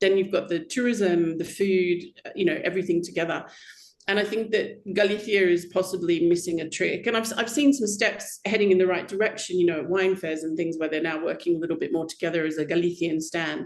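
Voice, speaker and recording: Amid noticeable background noise, a woman with an Australian accent talks at a fairly quick pace with ordinary pitch variation. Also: medium pitch for a woman. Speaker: wine critic. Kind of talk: casual chat.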